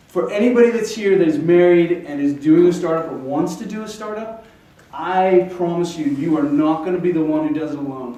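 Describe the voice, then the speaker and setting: Over noticeable background noise, a man speaks at a moderate pace in a high pitch. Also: ordinary pitch variation. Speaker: startup founder. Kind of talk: pitch presentation. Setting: stage with audience. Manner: halting; loud.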